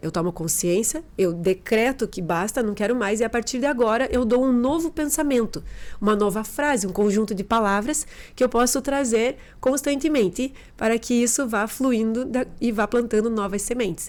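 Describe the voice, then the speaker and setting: A woman with a southern Brazilian accent, fairly high in pitch with ordinary pitch variation, on a very clean recording with a silent background. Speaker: behavioral therapist. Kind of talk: podcast interview testimony.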